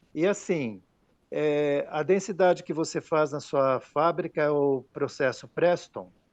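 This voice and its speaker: Against a quiet background, a man talks at a very slow pace. His pitch variation is ordinary. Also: fairly high pitch for a man. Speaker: glass technology specialist. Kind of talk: technical Q&A. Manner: hesitant, many fillers.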